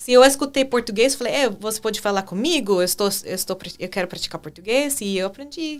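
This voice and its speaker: A woman's fairly high voice with an English accent, lively intonation, big swings in loudness and hardly any pauses. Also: fairly quick pace. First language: English (speaking Portuguese). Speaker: English teacher. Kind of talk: casual chat. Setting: podcast studio. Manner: halting.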